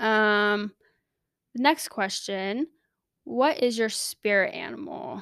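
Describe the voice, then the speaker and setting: Speaking very slowly with long, frequent pauses, a woman talks in a Californian accent. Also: fairly high pitch for a woman, dry, close sound with no echo, very clean recording, silent background. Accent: General American, Californian. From Southern California. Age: 20s. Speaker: podcast host, nursing student. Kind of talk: casual solo monologue. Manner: animated.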